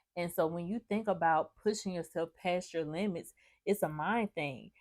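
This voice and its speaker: A woman with a plain, everyday voice speaks at a moderate pace with a fairly low pitch and ordinary pitch variation. The recording is very clean and dry, with a silent background and no echo. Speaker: mindset life coach. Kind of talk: motivational talk to camera. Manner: casual, conversational.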